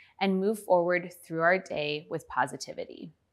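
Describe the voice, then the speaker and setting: A woman's medium-pitched voice with ordinary pitch variation against a quiet background. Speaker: meditation guide. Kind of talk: guided meditation. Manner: calm, slow, soothing; soft-spoken, gentle pacing. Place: studio.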